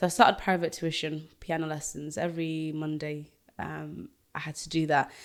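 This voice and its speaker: In a very clean recording with a silent background, a woman with a Yorkshire accent and a very deep, low pitch speaks at a moderate pace with fairly even intonation. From northern England (Doncaster, Yorkshire), born in Zimbabwe. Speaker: singer and radio host. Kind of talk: casual interview chat.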